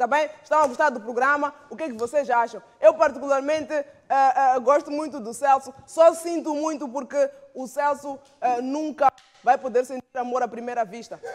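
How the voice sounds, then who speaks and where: Speaking at a moderate pace, a man with an extremely high pitch has an animated tone and big swings in loudness. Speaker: comedy show host. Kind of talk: stand-up comedy. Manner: animated, joke-telling with punchlines and audience banter. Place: studio. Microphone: lapel.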